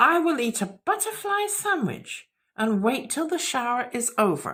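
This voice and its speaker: Pitch leaps very widely as a put-on character voice unfolds at a moderate pace. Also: woman, high pitch for a woman. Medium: read story. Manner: polite, proper.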